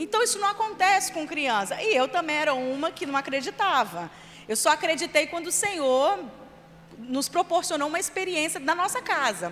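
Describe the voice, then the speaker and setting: Over noticeable background noise, a woman with an extremely high pitch speaks at a moderate pace with lively intonation. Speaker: children's ministry leader and trainer. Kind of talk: church training lecture.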